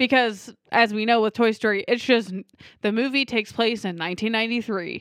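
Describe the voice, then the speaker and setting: With an unremarkable speaking voice, a woman talks at a fairly quick pace and fairly high pitch with fairly even intonation, in a very clean recording with a silent background. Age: 20s. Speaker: movie podcast host. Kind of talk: casual chat.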